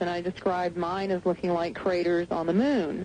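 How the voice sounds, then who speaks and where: A plain, everyday voice with an American accent talks at a moderate pace. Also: woman. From Southern United States. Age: 30s. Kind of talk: radio interview answer. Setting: phone line.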